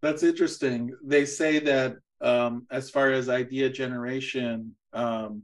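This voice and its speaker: The man speaks at a medium pitch and a fairly slow pace. The background is quiet. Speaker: university lecturer hosting a talk series. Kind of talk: interview. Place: home room. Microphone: video call.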